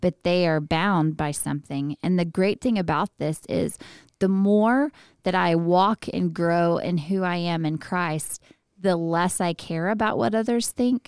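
A woman with a Texan accent speaks fairly slowly in a fairly low pitch with ordinary pitch variation. The recording is very clean with a silent background, and the sound is dry and close with no echo. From West Texas (Midland area). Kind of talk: casual chat.

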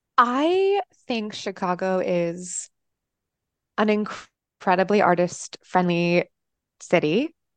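A woman with an American accent speaks at a very slow pace with long, frequent pauses, her medium pitch varying in an ordinary way, in a dry, close sound with no echo. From Texas, via upstate New York. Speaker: arts administrator and singer. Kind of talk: casual chat.

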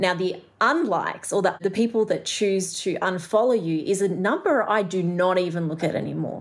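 Hardly pausing, a woman with an Australian accent keeps very even loudness at a medium pitch with ordinary pitch variation. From Australia, Melbourne. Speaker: artist and entrepreneur. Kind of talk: interview conversation. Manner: fast talker.

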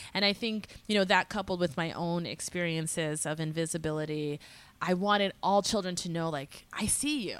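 Speaking in an American accent, a woman has an unremarkable speaking voice with a fairly low pitch, ordinary pitch variation, and a moderate pace. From Massachusetts, small town north of Boston. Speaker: social entrepreneur, education nonprofit director. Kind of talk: casual interview.

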